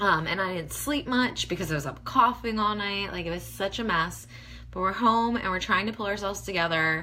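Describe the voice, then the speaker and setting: Audible room echo surrounds a woman who speaks at a fairly quick pace with ordinary pitch variation. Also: medium pitch for a woman. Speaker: beauty blogger. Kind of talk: casual livestream tutorial. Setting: facebook live video at home. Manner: chatty, many fillers.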